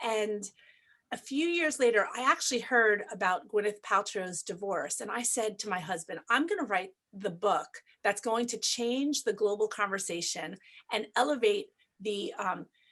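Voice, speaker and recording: A woman's bright, sharp voice at a moderate pace, fairly high with lively intonation. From New York. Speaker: family law attorney and mediator. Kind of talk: interview.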